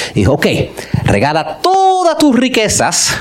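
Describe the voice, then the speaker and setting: Over noticeable background noise and audible room echo, a man talks at a moderate pace in an animated tone with very wide pitch swings. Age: 50s. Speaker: pastor. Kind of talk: sermon.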